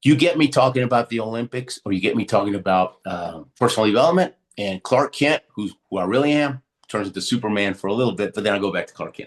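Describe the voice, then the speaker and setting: A man talks at a very fast pace with lively intonation. The sound is dry and close, with no echo. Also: medium pitch for a man. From Houston, Texas (born in Argentina). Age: 60s. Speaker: Olympic athlete and motivational speaker. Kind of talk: podcast interview. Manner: animated storytelling with many fillers.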